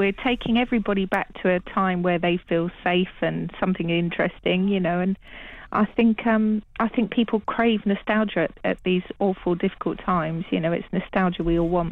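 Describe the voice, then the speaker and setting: A woman with an unremarkable speaking voice talks at a moderate pace and medium pitch, her loudness very even and her intonation fairly even. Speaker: TV channel operator. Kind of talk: radio interview.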